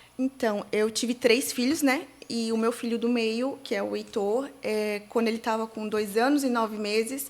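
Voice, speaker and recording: A woman speaks at a moderate pace with a fairly high pitch. Noticeable background noise is present. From Santa Catarina, Brazil (Itajaí/Navegantes). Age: 30s. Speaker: digital influencer, bereaved mother. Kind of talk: interview testimony. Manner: halting, many fillers.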